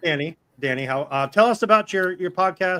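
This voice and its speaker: A man speaks with lively intonation in a bright, sharp tone. The sound is dry and close with no echo, on a very clean recording with a silent background. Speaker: live stream show host. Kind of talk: casual chat. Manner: fast.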